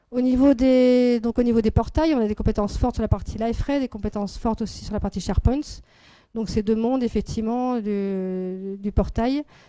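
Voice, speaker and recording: Fairly high-pitched and dark, mellow in tone, a woman speaks with fairly even intonation on a very clean recording with a silent background. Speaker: business network founder presenting to audience. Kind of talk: business presentation. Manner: fast.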